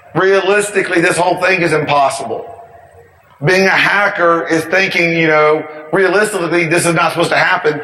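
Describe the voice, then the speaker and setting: Energetic speech at a fairly quick pace holds very even loudness while noticeable background noise sits behind it. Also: man, high pitch for a man. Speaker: information security speaker. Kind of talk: conference talk. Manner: energetic, ranty; fast.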